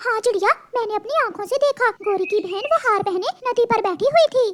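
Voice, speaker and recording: A woman speaks in a cartoonish character voice pitched extremely high. It sounds squeaky. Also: moderate pace. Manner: eager.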